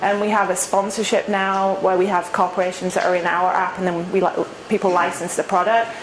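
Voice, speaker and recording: A woman with an English accent speaks at a fairly quick pace in a medium pitch, her intonation monotone and flat and her loudness very even, over noticeable background noise. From England. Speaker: startup founder. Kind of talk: Q&A talk at a meetup. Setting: meetup with live audience.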